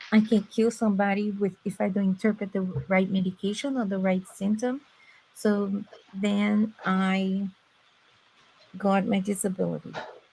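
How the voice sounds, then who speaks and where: Speaking in a strong Brazilian accent, a woman uses a medium pitch and a dark, mellow, somewhat breathy tone, her flat, monotone delivery broken by long, frequent pauses. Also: moderate pace. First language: Portuguese. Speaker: former medical interpreter. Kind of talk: personal testimony in a live stream chat. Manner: sometimes halting, searching for words.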